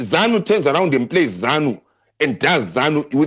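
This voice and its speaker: A man's voice swings very widely in pitch and carries vocal fry. The background is quiet. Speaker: political discussant. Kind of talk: heated debate. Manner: animated; direct.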